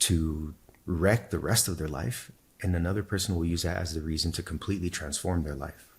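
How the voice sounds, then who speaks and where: Somewhat breathy, a man with a Spanish accent speaks at a fairly quick pace with a very deep, low pitch and ordinary pitch variation. The recording is very clean, with a silent background. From Texas, El Paso. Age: 40s. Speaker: spiritual teacher. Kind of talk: interview testimony. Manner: repeats words, fillers.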